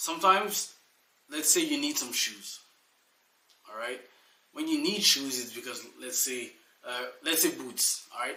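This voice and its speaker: Noticeable background noise and audible room echo surround a man who speaks at a fairly slow pace with long, frequent pauses. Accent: French. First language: French. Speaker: life coach. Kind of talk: motivational talk. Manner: casual, with fillers.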